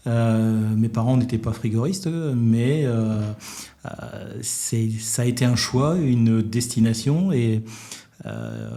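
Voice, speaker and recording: A man speaks in a normal speaking voice. His pitch is medium and his intonation fairly even. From northern France (Douai, Nord). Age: 60s. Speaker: business executive, former refrigeration technician. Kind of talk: interview.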